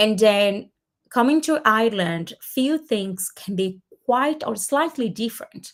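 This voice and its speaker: In a Portuguese accent, a woman talks at a fairly slow pace, her fairly high voice carrying lively intonation. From Brazil. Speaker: community host. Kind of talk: webinar presentation. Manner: halting, many fillers.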